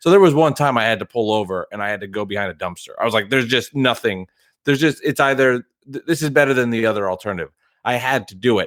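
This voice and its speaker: Captured in a very clean recording with a silent background and a dry, close sound with no echo, a man with a New Jersey accent talks at a very fast pace, his medium pitch carrying lively intonation. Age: 30s. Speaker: guest podcast host, delivery driver. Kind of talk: casual chat.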